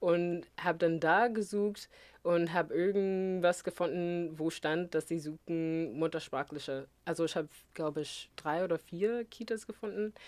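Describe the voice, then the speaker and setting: On a very clean recording with a silent background, a woman with a fairly low pitch talks at a fairly slow pace with ordinary pitch variation. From US Midwest, rural Missouri. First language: English (speaking German). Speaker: educator and singer. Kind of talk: interview. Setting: studio. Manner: halting.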